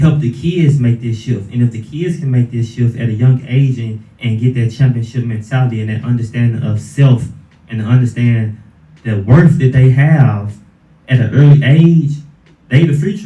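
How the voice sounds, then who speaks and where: A man talks at a moderate pace in a medium pitch with ordinary pitch variation. His voice is somewhat breathy, with a dark, mellow tone. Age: 20s. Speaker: fighter. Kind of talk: interview.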